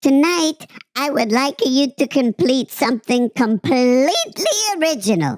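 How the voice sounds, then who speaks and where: A put-on character voice with lively intonation and very even loudness, dry and close with no echo. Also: woman, high pitch for a woman, moderate pace. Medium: read story. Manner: warm, encouraging.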